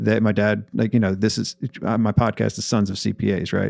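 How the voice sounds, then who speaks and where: A man talks at a fairly low pitch. The sound is dry and close, with no echo. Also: very clean recording, silent background. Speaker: accounting firm owner and podcaster. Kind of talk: casual interview chat. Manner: talkative, energetic, animated.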